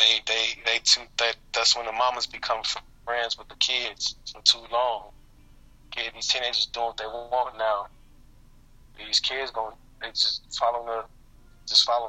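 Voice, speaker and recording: A man at a moderate pace, with big swings in loudness and long, frequent pauses. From Chicago. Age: 30s. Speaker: father of seven. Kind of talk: casual interview.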